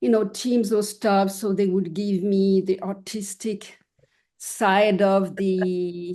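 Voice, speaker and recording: A woman speaks at a medium pitch with a dark, mellow tone. Her intonation is monotone and flat, and her pace is very slow. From France/Switzerland border near Geneva. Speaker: artist. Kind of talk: interview. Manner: halting.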